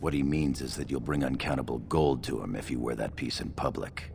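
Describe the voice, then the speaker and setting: A man talks at a fairly quick pace in a put-on character voice. Loud background noise fills the recording. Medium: video game. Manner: dry, sardonic.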